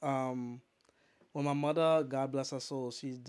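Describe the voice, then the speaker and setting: A man's ordinary speaking voice, medium in pitch, at a moderate pace with fairly even intonation, in a very clean recording over a silent background. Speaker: DJ and poet. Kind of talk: casual chat. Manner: casual, rambling, repeats phrases.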